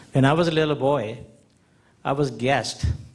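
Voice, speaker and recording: Somewhat breathy and fairly even in intonation, a man's voice carries audible room echo. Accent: American. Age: 70s. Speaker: audience member. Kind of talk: audience comment. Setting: conference hall with audience.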